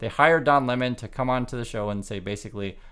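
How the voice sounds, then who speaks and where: A man talks at a very fast pace with ordinary pitch variation on a very clean recording with a silent background. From Vietnam. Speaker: news commentator YouTuber. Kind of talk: casual commentary vlog. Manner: halting, many repetitions.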